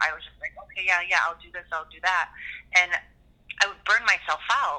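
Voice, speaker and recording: Speaking at a fairly quick pace with a Hawaiian accent, a woman uses ordinary pitch variation. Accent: Hawaiian American. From Hawaii, Waipahu. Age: 30s. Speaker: business owner and podcaster. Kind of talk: casual interview.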